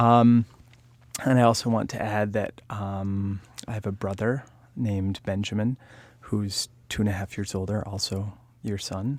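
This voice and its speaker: A man at a fairly low pitch in a flat monotone, slow-paced with long, frequent pauses, on a very clean recording with a silent background. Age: 30s. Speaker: interviewer. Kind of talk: oral history interview.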